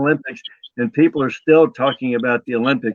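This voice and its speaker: Recorded with a dry, close sound and no echo, a man with an American accent speaks in a plain, everyday voice, fairly high in pitch with ordinary pitch variation. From US. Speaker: retired kickboxing champion and martial arts promoter. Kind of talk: interview on a live web show.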